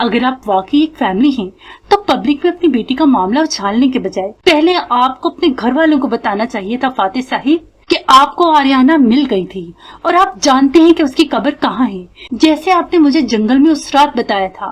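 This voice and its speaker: Putting on a growling character voice, a woman speaks in an angry tone at a high pitch and a moderate pace, with lively intonation. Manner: angry, growling.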